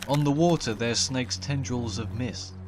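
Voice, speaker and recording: Fairly slow speech from a man, with ordinary pitch variation and noticeable background noise. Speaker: folklore narrator. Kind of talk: horror story narration.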